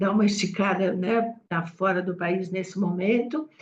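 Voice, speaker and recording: Speaking at a fairly slow pace, a woman with a somewhat breathy voice keeps her intonation fairly even. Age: 70s. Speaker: cause communication professional. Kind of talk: meeting discussion remarks.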